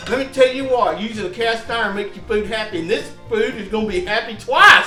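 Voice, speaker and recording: An upbeat man with a Southern US accent, high-pitched and raised in a projected voice, at a fairly quick pace with ordinary pitch variation, music in the background. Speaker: home cook, cooking show host. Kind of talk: casual cooking demonstration to camera. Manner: folksy, joking, upbeat.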